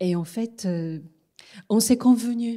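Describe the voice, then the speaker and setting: A woman with a dark, mellow tone talks very slowly, her pitch varying in an ordinary way. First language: Japanese (speaking French). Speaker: interviewer, literary scholar. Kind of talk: interview. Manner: hesitant.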